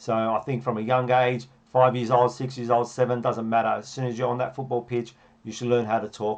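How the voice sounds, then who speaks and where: In an Australian accent, a man talks with fairly even intonation. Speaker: football coach. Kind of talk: tutorial. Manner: fast.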